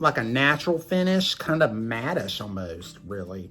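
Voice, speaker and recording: The tone is animated, in a Southern US accent. Music plays in the background. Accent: Southern US twang. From US South. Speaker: beauty vlogger. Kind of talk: makeup tutorial. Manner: chatty, animated.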